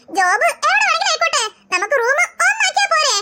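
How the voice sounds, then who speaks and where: A woman's squeaky, cartoonish character voice, extremely high in pitch, at a fairly quick pace. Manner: reassuring, upbeat.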